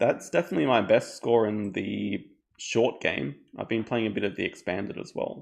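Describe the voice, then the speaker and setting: A speaker with an Australian accent talks at a moderate pace. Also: man. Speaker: board game streamer. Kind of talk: live gameplay commentary. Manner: casual, with hesitations and repeats.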